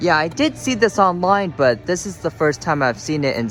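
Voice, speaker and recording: A man keeps to a moderate pace while music plays in the background. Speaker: vlogger. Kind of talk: casual vlog narration. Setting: in a store.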